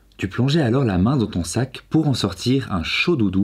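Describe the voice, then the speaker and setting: In a gentle, soothing tone, a man speaks somewhat breathily at a medium pitch with lively intonation. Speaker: video creator and storyteller. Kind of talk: bedtime story reading aloud. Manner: gentle, soft and soothing, slow storyteller's pace.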